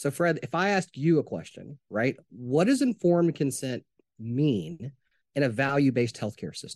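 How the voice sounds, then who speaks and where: Heard dry and close with no echo, a man with a fairly high pitch and an American accent makes very wide pitch swings. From US South, Arkansas. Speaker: healthcare technology executive. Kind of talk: interview. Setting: remote interview.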